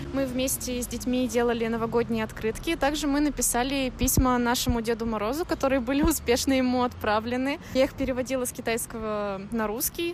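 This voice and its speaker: Pitched high, a woman speaks at a fairly quick pace with fairly even intonation and hardly any pauses. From Russia, Tomsk. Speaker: exchange student. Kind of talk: interview.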